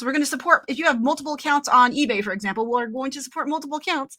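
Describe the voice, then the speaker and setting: Raised and projected, a woman's voice rings out at a high pitch. Her tone is bright and sharp. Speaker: company co-founder and product tester. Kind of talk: livestream casual chat. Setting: livestream. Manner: fast; animated.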